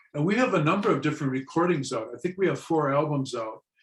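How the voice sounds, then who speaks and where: The voice comes with an American accent. It sounds somewhat breathy. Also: man. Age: 60s. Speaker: drummer and musician. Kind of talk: interview.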